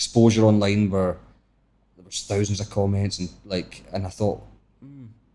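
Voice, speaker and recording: In a Scottish accent, a man speaks with a dark, mellow tone, fairly low pitch, monotone, flat intonation, big swings in loudness and long, frequent pauses. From Scotland. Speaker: travel vlogger. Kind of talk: podcast interview. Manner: fast.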